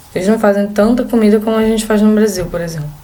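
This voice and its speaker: A woman's medium-pitched voice with ordinary pitch variation and a strong Rio de Janeiro accent, amid noticeable background noise and audible room echo. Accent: strong carioca. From Brazil, Rio de Janeiro. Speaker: exchange student vlogger. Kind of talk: casual vlog talk.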